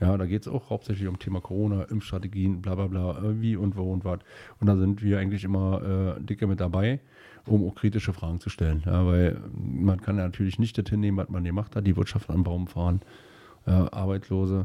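On a very clean recording with a silent background, the voice has a dark, mellow tone, fairly even intonation and a fairly quick pace. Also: man, very deep, low pitch for a man. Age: 40s. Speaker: state politician. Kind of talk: interview. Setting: studio.

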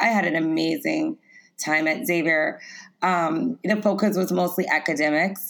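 A woman's unremarkable speaking voice, fairly low-pitched, with an American accent, lively intonation and a fairly slow pace. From US South, Lafayette, Louisiana. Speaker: personal trainer and plant-based chef. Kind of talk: interview.

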